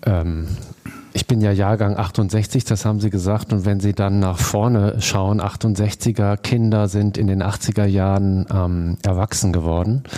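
Over noticeable background noise, a man with a fairly low pitch speaks at a very slow pace, with very even loudness and fairly even intonation. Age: 50s. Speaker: foundation board member. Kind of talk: interview. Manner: hesitant, many filler sounds.

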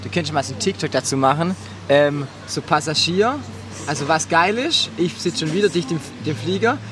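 A man's fairly high-pitched voice comes through. Music plays in the background. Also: lively intonation, moderate pace. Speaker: podcast host and party singer. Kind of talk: casual chat. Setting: outdoors at a Mallorca party venue. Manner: animated.

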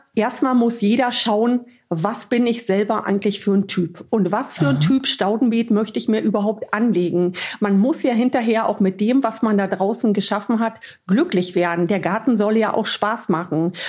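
Over noticeable background noise, a woman speaks at a moderate pace with a fairly high pitch, ordinary pitch variation and very even loudness. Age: 40s. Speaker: nurse and garden influencer. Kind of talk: casual interview chat.

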